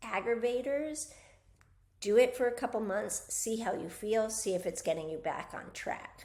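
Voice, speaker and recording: With a plain, everyday voice, a woman talks at a fairly slow pace and a fairly high pitch, with ordinary pitch variation. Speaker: physical therapist and wellness coach. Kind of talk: casual talk-to-camera health advice. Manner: casual, with fillers.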